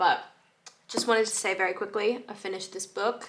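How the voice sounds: In a put-on character voice, a woman speaks at a fairly quick pace, raspy and monotone at a medium pitch with flat intonation.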